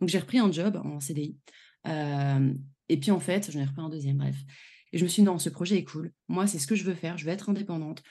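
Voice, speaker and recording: Over a quiet background, the speaker talks at a fairly quick pace in a dark, mellow tone with ordinary pitch variation. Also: woman, fairly low pitch for a woman. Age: 30s. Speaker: travel planner and trainer. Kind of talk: casual interview chat.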